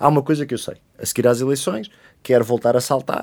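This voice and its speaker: A man speaks at a very fast pace with a medium pitch. The recording is very clean, with a silent background. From Portugal, Oeiras (Lisbon area). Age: 20s. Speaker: politician. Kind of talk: interview.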